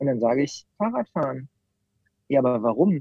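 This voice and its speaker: Dry and close with no echo, a man's dark, mellow voice carries lively intonation at a medium pitch. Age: 30s. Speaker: bus company owner. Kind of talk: interview.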